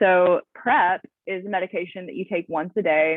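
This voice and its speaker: A woman speaks with a Southern US accent. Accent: Southern US accent, noticeable. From US South. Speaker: HIV prevention worker. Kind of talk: training presentation. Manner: casual, frequent fillers.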